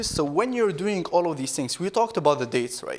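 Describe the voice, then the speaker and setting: A man with a non-native accent talks with ordinary pitch variation. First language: not English. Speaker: startup founder and keynote speaker. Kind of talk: keynote talk. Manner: halting.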